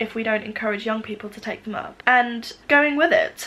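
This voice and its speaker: Noticeable background noise accompanies a woman speaking at a moderate pace. Her pitch is high, with ordinary variation. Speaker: knitter and crafter. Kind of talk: casual talk to camera.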